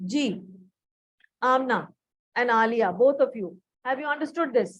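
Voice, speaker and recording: A woman speaks with a high pitch. Her intonation is lively. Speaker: biology teacher. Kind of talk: lecture. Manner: slow, deliberate.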